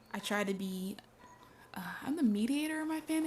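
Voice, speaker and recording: Music plays behind a woman whose voice sits at a fairly high pitch. Her pitch varies in an ordinary way. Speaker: gaming streamer. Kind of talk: casual chat. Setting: live stream. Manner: slow, careful enunciation.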